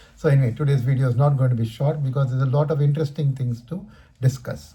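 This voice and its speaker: With an Indian accent, the speaker talks at a very fast pace in a dark, mellow tone with fairly even intonation. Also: man. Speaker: stock market commentator. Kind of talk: market commentary video. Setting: recording at home in his room. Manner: trying to talk faster and louder.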